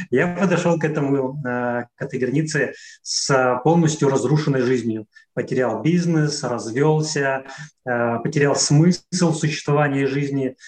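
A man's voice, fairly high and somewhat breathy, holds a fairly even intonation. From Russian Far East, near Khabarovsk. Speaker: traveler and author. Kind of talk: casual interview conversation.

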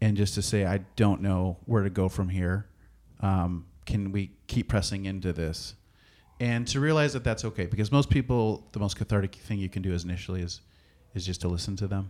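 A man with an ordinary speaking voice and an American accent, fairly low in pitch with ordinary pitch variation, on a very clean recording with a silent background. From US Midwest, small-town Wisconsin. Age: 30s. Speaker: pastor. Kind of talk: casual interview conversation.

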